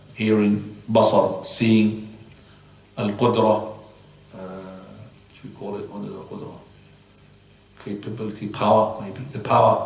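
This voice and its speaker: Speaking with an Arabic accent, a man with fairly low pitch talks at a fairly slow pace in a monotone, flat intonation, with long, frequent pauses and audible room echo. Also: big swings in loudness. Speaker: Islamic teacher. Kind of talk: religious lecture. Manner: halting.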